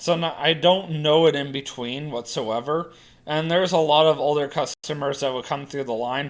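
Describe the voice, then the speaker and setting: Quietly, a man talks at a moderate pace in a fairly high pitch with ordinary pitch variation. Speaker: vlogger. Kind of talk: casual vlog monologue.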